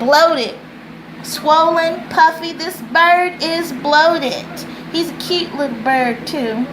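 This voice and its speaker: Over noticeable background noise and audible room echo, a woman with an extremely high pitch speaks at a very slow pace with ordinary pitch variation. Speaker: tutor and teacher. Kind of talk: tutorial. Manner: deliberate.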